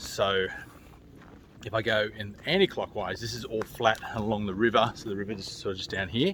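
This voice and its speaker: In an Australian accent, a man talks at a fairly quick pace in a fairly low pitch with a relaxed tone. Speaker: solo hiker vlogger. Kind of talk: casual vlog narration. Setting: outdoors on a hiking trail. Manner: relaxed, conversational.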